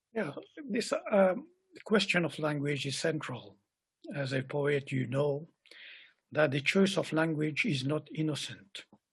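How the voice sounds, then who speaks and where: Somewhat breathy speech moves at a fairly slow pace, broken by long, frequent pauses, with ordinary pitch variation. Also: man, fairly high pitch for a man. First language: Creole. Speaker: poet. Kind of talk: interview conversation.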